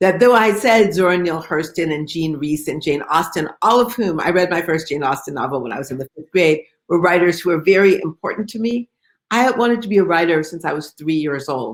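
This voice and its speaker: Speaking at a fairly quick pace with lively intonation, a woman with a fairly low pitch has a normal speaking voice and an American accent. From Detroit, US Midwest. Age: 60s. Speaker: novelist. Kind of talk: author interview. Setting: video call.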